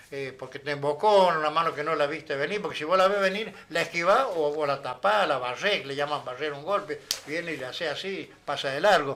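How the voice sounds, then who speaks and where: A man with an Argentine accent speaks at a fairly quick pace, fairly high in pitch, with ordinary pitch variation and hardly any pauses. Noticeable background noise runs underneath. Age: 70s. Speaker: former boxer, sales representative. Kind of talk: interview. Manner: animated, gesturing.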